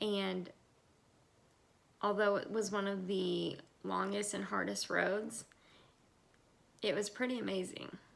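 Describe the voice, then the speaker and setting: A woman with an American accent speaks at a fairly slow pace. She leaves long, frequent pauses. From US South, Georgia. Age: 30s. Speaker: IVF patient. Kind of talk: testimony.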